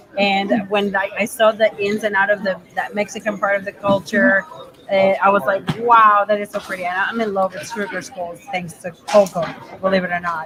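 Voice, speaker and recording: Music plays in the background as a woman talks at medium pitch. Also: moderate pace. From Venezuela. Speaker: makeup artist. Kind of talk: casual interview. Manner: animated.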